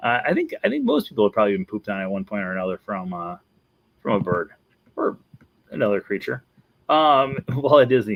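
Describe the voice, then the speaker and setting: This speaker has a Wisconsin accent and lively intonation. The pace is very fast, broken by long, frequent pauses. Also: man, medium pitch for a man. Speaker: Disney vlogger. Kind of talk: casual video commentary.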